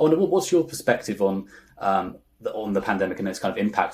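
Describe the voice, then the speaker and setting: A man with a British accent, at a very fast pace. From UK. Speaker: industry news interviewer. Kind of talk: interview.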